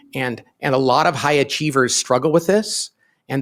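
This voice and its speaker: A normal speaking voice at a moderate pace. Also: man. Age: 50s. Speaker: business author and company founder. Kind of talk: podcast interview.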